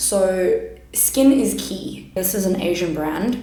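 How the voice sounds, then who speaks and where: A woman speaks loudly amid noticeable background noise and audible room echo. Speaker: makeup YouTuber and kindergarten teacher. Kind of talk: makeup tutorial.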